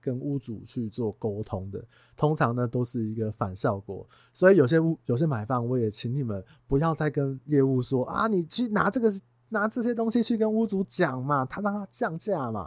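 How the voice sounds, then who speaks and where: At a moderate pace, a man with a fairly high pitch swings very widely in pitch, in a very clean recording with a silent background. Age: 30s. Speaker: real estate agent and podcast host. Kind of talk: casual monologue. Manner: animated.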